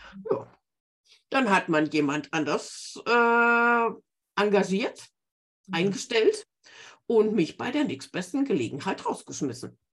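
At a very slow pace, a woman speaks with vocal fry, very wide pitch swings and long, frequent pauses. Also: medium pitch for a woman. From Bavaria, Garmisch-Partenkirchen (born Remscheid). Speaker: book-writing coach. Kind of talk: interview.

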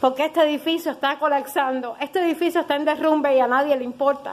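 The pace is fairly quick. The intonation stays flat and monotone. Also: woman. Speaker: mother making a complaint. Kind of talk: impassioned protest.

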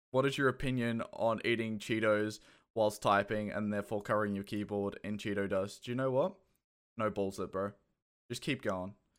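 With an Australian accent, a man talks at a moderate pace in a fairly low pitch and fairly even intonation. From England (Kent). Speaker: podcast host running a community AMA. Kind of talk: casual live Q&A chat. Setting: Discord stage channel, live online. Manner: casual, chatty.

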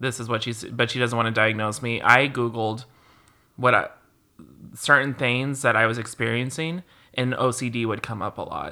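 The recording is very clean, with a silent background. The speaker talks at a moderate pace. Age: 30s. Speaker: podcast co-host. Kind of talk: casual chat. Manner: animated.

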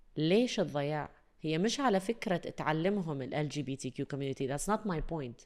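The speech moves at a moderate pace with lively intonation and hardly any pauses, on a very clean recording with a silent background. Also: woman, very deep, low pitch for a woman. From UAE. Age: 30s. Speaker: voice-over artist and radio/TV presenter. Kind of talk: casual chat. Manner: animated.

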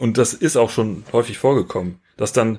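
A man with an ordinary speaking voice talks at a fairly quick pace and a medium pitch. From Rhineland, Germany. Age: 30s. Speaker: photographer. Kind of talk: casual interview.

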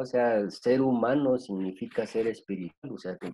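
Lively intonation marks this man's medium-pitched voice, delivered in a Guatemalan accent. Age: 50s. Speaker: psychologist. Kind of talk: interview. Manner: halting, many fillers.

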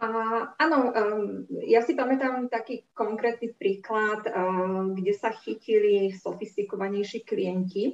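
A woman's fairly high voice, with ordinary pitch variation, at a very slow pace. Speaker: bank director. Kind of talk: panel discussion.

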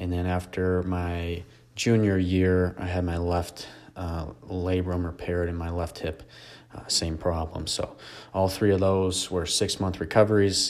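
Speaking at a fairly slow pace with an American accent, a man has a very deep, low pitch and monotone, flat intonation. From Michigan. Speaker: fitness business owner and podcast host. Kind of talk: solo podcast monologue.

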